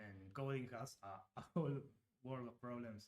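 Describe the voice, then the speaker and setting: A man speaks in a Uruguayan accent at medium pitch, with ordinary pitch variation. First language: Spanish. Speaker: game designer. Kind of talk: live stream Q&A chat. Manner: halting, many fillers.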